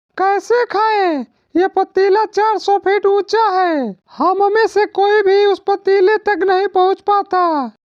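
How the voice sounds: A cartoonish character voice pitched extremely high moves at a fairly slow pace.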